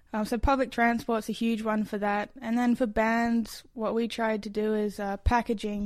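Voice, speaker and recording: A woman speaks in an Australian accent at a moderate pace with hardly any pauses, her pitch fairly high. Her intonation is monotone and flat, and the recording is very clean with a silent background. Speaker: musician. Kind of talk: interview.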